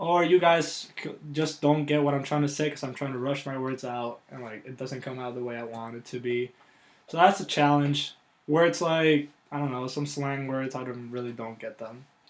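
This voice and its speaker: A man talks at a moderate pace with a fairly high pitch and fairly even intonation. His loudness swings widely. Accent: Puerto Rican. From Puerto Rico. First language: Spanish. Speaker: college athlete. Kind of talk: interview. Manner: casual, many fillers; pauses to find words.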